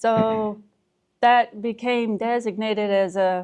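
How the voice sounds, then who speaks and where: A woman with an Appalachian accent speaks at a medium pitch with fairly even intonation. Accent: Southern US (Appalachian). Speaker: podcast co-host. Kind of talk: casual chat. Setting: outdoor pavilion with wooden roof. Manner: slow.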